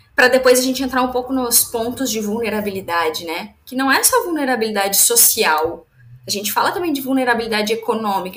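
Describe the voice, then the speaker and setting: This woman speaks at a fairly quick pace. Her voice sits at a high pitch. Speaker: entrepreneur and business mentor. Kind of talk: casual interview.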